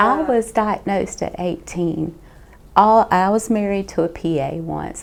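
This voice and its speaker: Here a woman speaks in a Southern US accent. Her intonation is fairly even. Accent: Southern US (Georgia). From Georgia, US South. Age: 50s. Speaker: nurse and patient. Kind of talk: testimony.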